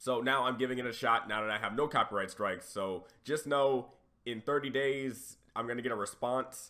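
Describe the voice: At a moderate pace, a man talks in a raspy voice. His tone is fairly bright.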